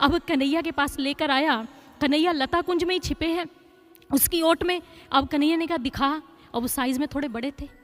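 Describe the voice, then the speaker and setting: Over music in the background, a woman speaks at a moderate pace in a high pitch with fairly even intonation. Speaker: spiritual storyteller (katha narrator). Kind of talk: devotional katha storytelling.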